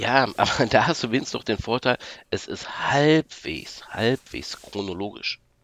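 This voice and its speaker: A man's ordinary speaking voice, medium in pitch with lively intonation, dry and close with no echo. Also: fairly slow pace. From Hochsauerlandkreis, western Germany. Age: 40s. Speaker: podcast listener guest, vocational trainer. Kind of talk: casual chat. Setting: remote call from home office.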